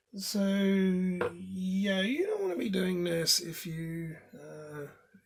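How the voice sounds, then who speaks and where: This clip features a man speaking with a British accent. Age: 30s. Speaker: tech hobbyist video maker. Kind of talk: tutorial. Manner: casual, with hesitations.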